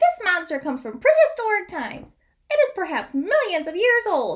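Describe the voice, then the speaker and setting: A woman puts on a squeaky character voice, extremely high in pitch, raised and projected. She keeps a moderate pace while her pitch swings very widely. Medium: read story. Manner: formal, lecturing.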